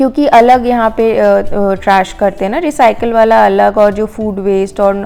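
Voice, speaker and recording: With music in the background, a woman with a fairly high pitch speaks at a fairly slow pace with fairly even intonation. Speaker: lifestyle vlogger. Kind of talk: vlog voice-over narration. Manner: casual, hesitant fillers.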